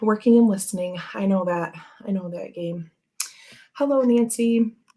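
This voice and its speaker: An ordinary speaking voice from a woman, medium in pitch, with ordinary pitch variation and a moderate pace. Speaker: tarot reader livestream host. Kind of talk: casual livestream chat. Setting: livestream from home. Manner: filler-heavy, chatty.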